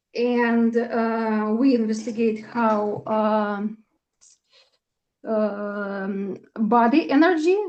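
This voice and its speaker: This woman talks with a Russian accent. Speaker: astrologer. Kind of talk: casual chat. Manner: halting, many fillers.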